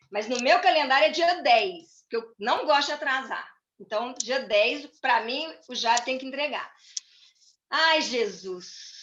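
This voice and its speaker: A woman's high-pitched, raised and projected voice, very slow in pace with lively intonation. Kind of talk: church talk.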